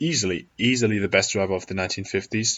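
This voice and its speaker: A man with a non-native accent, a fairly low pitch and a fairly quick pace. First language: not English. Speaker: YouTuber, F1 commentator. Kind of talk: casual video commentary.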